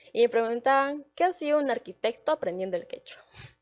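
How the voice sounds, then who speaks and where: The background stays quiet. A woman talks with ordinary pitch variation. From Peru, Arequipa. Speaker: university student. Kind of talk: panel talk, personal testimony. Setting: auditorium event, livestreamed. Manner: hesitant, many fillers.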